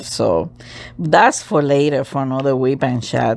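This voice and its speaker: A woman with a non-native accent and a very deep, low pitch speaks at a very slow pace. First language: not English. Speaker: crafts channel host. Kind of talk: casual talk to camera.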